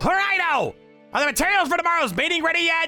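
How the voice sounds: Putting on a character voice, a man talks fast at an extremely high pitch with big pitch swings and a bright, sharp tone while faint music plays in the background.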